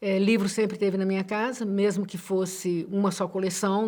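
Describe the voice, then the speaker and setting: A woman's medium-pitched voice has a dark, mellow tone and a moderate pace. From Minas Gerais, Brazil (Betim). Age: 60s. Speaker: literature professor. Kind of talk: interview. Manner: halting.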